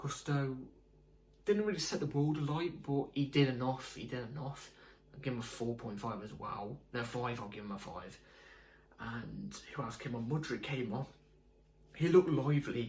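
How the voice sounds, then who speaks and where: With big swings in loudness and long, frequent pauses, a man talks at a moderate pace and medium pitch with ordinary pitch variation. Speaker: football fan video creator. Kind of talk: casual fan match review. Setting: home at night.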